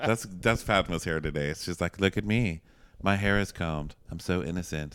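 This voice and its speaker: Deep and very low-pitched, a man with an American accent speaks at a moderate pace with ordinary pitch variation. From Texas. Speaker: podcast host. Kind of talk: casual chat. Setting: hotel room.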